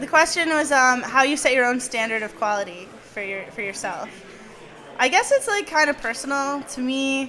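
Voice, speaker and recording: A woman speaks in a raised, projected voice at a high pitch, her loudness swinging widely. Audible room echo surrounds her. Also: moderate pace. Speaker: podcast host. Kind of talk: live talk to audience. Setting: stage with small audience. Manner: stuttering; casual, lots of fillers.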